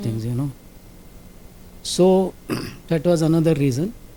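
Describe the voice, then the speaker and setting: With an Indian accent, a man speaks at a fairly high pitch in a dark, mellow tone. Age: 80s+. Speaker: industrial safety officer. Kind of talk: interview answer.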